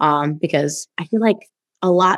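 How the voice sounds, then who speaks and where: A woman with a normal speaking voice and medium pitch talks at a moderate pace with lively intonation in an American accent, the sound dry and close with no echo on a very clean recording with a silent background. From New York, the Bronx (Guyanese family). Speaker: podcast host. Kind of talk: interview.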